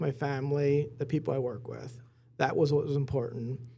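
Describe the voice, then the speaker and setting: A somewhat breathy voice with a dark, mellow tone speaks at a moderate pace in an American accent, keeping the intonation fairly even. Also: man. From Lancaster County, Pennsylvania. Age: 40s. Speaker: business executive. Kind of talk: casual interview.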